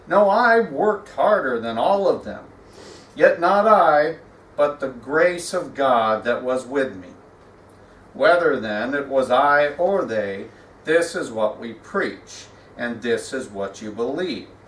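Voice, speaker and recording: A man's very slow delivery, with very wide pitch swings, big swings in loudness and audible room echo. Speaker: pastor. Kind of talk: scripture reading in a sermon. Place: church. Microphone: podium.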